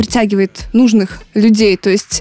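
A woman's voice amid noticeable background noise. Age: 20s. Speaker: radio host. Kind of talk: casual chat. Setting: recorded at a country house.

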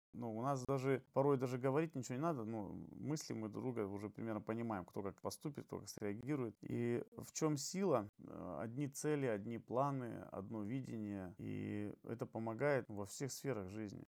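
With an unremarkable speaking voice, a man talks at a medium pitch and moderate pace, his pitch varying in an ordinary way. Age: 30s. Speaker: HIV awareness activist. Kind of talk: podcast interview.

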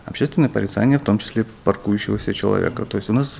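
A man speaks in a fairly low voice. Noticeable background noise runs behind him. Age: 40s. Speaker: urbanism blogger. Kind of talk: interview.

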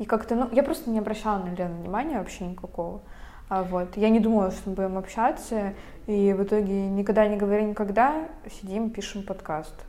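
A woman at a medium pitch with ordinary variation, a fairly quick pace, and audible room echo. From Russia, Veliky Novgorod. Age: young. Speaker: podcast co-host, university student. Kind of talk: casual chat.

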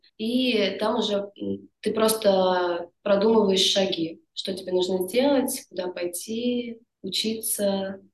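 Fairly even intonation carries speech delivered at a very slow pace. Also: woman, medium pitch for a woman. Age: 20s. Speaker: yoga teacher. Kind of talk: casual interview chat.

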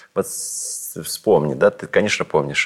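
The sound is close and dry, without any echo. It carries a man's speech. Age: 50s. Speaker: radio host and theatre director. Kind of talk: casual chat. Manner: halting.

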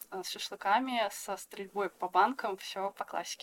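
A woman speaks at a medium pitch and a fairly slow pace. The sound is dry and close with no echo. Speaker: textile artist. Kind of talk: casual chat. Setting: video call.

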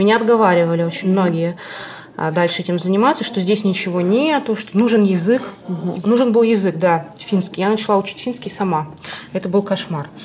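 Woman at a very fast pace, medium pitch and ordinary pitch variation, over noticeable background noise. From Vyborg, Russia. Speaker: art historian. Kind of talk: interview.

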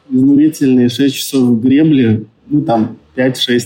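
Background music accompanies a man's voice. His delivery is very slow. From Yakutia, Russia. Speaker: businessman, surf centre founder. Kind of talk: interview. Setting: remote call from Dubai.

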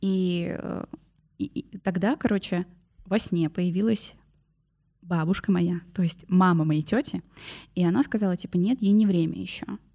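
On a very clean recording with a silent background, a woman speaks fairly slowly at a medium pitch, with ordinary pitch variation and long, frequent pauses. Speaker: podcast host. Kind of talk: casual chat.

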